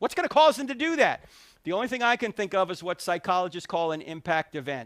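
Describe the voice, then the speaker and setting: An animated speaker with an American accent moves at a fairly quick pace with very wide pitch swings, in a very clean, dry, close recording with no echo and a silent background. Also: man. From New Jersey. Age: 60s. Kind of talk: public talk. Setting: stage with audience.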